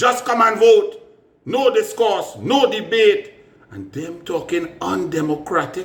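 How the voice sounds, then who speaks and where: A man with a Trinidadian accent talks at a fairly slow pace, his loudness swinging widely, over noticeable background noise. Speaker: politician. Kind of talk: political commentary.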